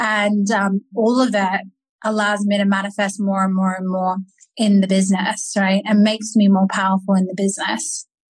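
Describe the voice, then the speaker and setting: A woman's somewhat breathy voice at medium pitch, monotone and flat in intonation, at a moderate pace. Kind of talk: interview conversation.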